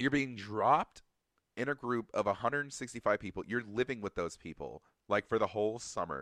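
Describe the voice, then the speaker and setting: Animated and at a fairly quick pace, a man talks at a medium pitch with vocal fry and ordinary pitch variation. The sound is dry and close with no echo, over a quiet background. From Atlanta, Georgia. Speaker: podcast host, former drum corps marcher. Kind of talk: casual solo podcast talk.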